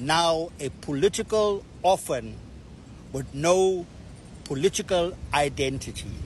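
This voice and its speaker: A man's high voice with lively intonation. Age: 60s. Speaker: political activist. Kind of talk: public statement. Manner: formal.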